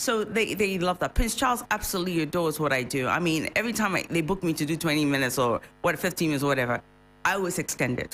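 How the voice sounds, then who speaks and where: With music in the background, a woman speaks at a very fast pace and very even loudness. Her fairly low voice has lively intonation. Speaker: singer. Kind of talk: radio interview.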